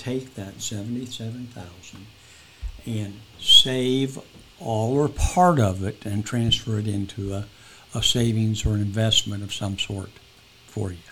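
There is noticeable background noise behind a man's voice. His pitch is medium, with ordinary variation. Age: 70s. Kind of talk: casual interview.

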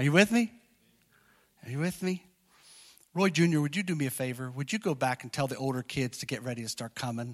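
A man with a fairly high pitch and an animated tone speaks fairly quickly with lively intonation and long, frequent pauses, in a very clean, dry, close recording with a silent background and no echo. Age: 50s. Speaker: pastor. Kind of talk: sermon. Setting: church.

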